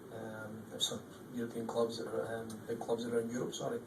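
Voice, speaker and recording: Fairly quick speech with fairly even intonation comes through audible room echo and noticeable background noise. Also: man. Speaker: football coach. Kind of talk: press conference. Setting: post-match press conference. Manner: hesitant, with frequent ums and repeats.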